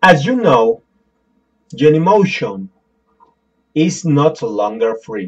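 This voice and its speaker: A man with a Spanish accent at a very slow pace, with very wide pitch swings and long, frequent pauses. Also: fairly high pitch for a man. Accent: non-native English, Spanish. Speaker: tech tutorial youtuber. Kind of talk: tutorial. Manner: halting.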